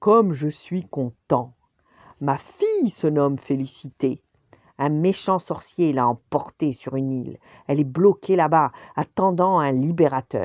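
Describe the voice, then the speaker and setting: Using a put-on character voice, a woman booms at a moderate pace with a very deep, low pitch. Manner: delighted, hearty.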